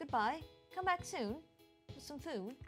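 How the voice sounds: A woman uses a put-on character voice, high for a woman, at a moderate pace over faint music in the background.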